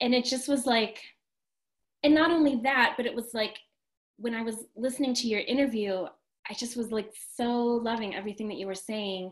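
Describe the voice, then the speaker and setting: An enthusiastic, fairly quick delivery with ordinary pitch variation and long, frequent pauses over a quiet background. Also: woman, fairly high pitch for a woman. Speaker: restaurant owner and interviewer; interviewer. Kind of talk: casual interview conversation. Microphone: video call.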